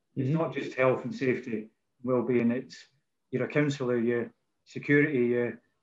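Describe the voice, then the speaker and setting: Speaking fairly quickly in a Scottish accent, a man uses ordinary pitch variation. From Scotland. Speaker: rail industry safety manager. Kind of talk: casual interview chat. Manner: informal, friendly.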